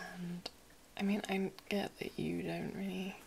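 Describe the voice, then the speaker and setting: Whispering unfolds at a very slow pace. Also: woman. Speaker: makeup roleplay host. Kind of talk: soft-spoken roleplay talk to viewer. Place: home room.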